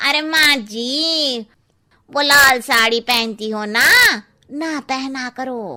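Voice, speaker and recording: A woman uses a cartoonish character voice. Her pitch is high and her pace very slow. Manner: blunt, cheeky.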